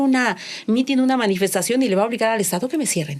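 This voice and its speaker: An unremarkable speaking voice at a fairly quick pace with lively intonation. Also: woman. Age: 60s. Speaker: corporate compliance expert. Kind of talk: podcast interview.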